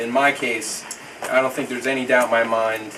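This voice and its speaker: Moderate pace, with audible room echo and noticeable background noise. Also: man. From New York, the Bronx, then Houston, Texas. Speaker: son giving a birthday toast. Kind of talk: birthday speech with a joke.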